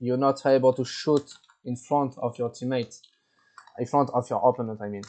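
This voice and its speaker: A man speaks with a French accent. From France. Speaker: gaming tournament organizer. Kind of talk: tutorial. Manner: halting, many repetitions.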